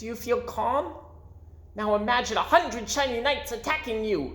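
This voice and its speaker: A squeaky, female-sounding put-on character voice comes through at a fairly high pitch. The pace is moderate, with light background noise. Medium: read story. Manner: stammering.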